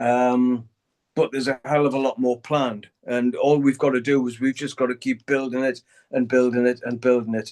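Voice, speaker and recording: A moderate pace and monotone, flat intonation, in a Geordie accent. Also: man, medium pitch for a man. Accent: Geordie (Newcastle) English. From northern England, Newcastle. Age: 60s. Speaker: heavy metal guitarist. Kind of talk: interview. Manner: halting, many fillers.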